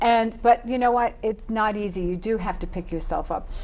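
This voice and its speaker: Very wide swings in a woman's pitch, against noticeable background noise. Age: 60s. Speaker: author and dating coach. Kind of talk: interview. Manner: animated.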